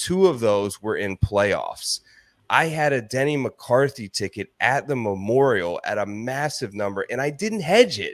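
In a plain, everyday voice with an American accent, a man speaks at a medium pitch and a fairly slow pace with lively intonation, on a very clean recording with a silent background and a dry, close sound with no echo. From Ohio. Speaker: golf betting analyst and podcaster. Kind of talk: interview.

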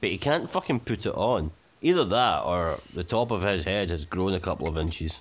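A man with a Scottish accent, fairly low-pitched, lively in intonation, at a moderate pace. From Scotland. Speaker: film commentary panelist. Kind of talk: casual chat.

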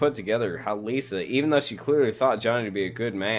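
What comes through is a natural reading voice.

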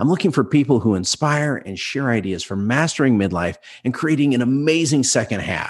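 Over a quiet background, a man speaks at a moderate pace with medium pitch and vocal fry. His tone is animated, with very wide pitch swings. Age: 50s. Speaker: podcast host. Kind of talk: scripted narration.

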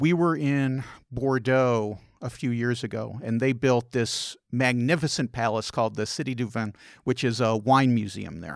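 A man with a plain, everyday voice speaks at medium pitch and a moderate pace with ordinary pitch variation, in a very clean recording with a silent background. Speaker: travel and food podcast host. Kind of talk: casual interview.

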